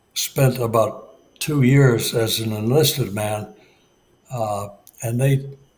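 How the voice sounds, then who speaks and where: A man's somewhat breathy, medium-pitched voice at a very slow pace, with long, frequent pauses. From US Midwest, Detroit. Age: 80s+. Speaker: retired Marine aviator. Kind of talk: interview. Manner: halting, many fillers.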